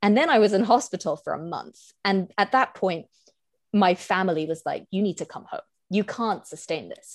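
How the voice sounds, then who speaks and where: A woman with a British accent, medium-pitched, lively in intonation, at a moderate pace, in a dry, close sound with no echo. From Hong Kong. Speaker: visual artist and writer. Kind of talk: casual interview chat.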